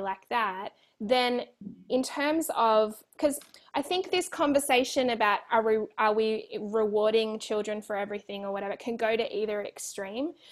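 A woman in an Australian accent speaks at a moderate pace. Her pitch is fairly high and her intonation is lively. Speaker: children's resilience educator and author. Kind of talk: interview.

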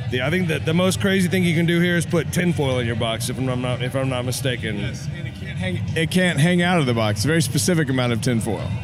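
Over noticeable background noise, a man with a Texan accent talks at a very fast pace with hardly any pauses. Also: medium pitch for a man, lively intonation. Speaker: barbecue competitor. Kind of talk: casual interview. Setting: outdoors at barbecue festival.

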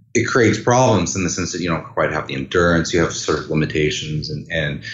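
Through audible room echo, a man's very deep, low voice carries vocal fry and lively intonation. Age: 40s. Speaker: orchestral clarinetist. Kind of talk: interview. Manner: halting.

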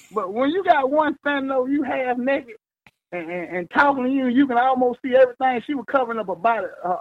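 A man with a Mississippi accent talks at a fairly quick pace, his extremely high pitch moving in very wide swings. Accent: Southern US (Mississippi). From Mississippi, US South. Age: 20s. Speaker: mover, self-employed. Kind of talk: casual storytelling. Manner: animated.

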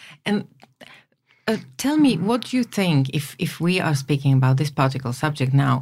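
With a Slovak accent, a woman speaks at a moderate pace in a somewhat breathy voice, very deep and low in pitch, with lively intonation. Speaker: podcast host. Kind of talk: interview. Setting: studio.

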